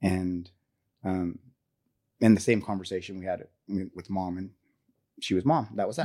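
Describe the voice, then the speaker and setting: Here a man speaks with a dark, mellow tone. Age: 40s. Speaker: podcast guest sharing life story. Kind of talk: personal storytelling interview. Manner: halting.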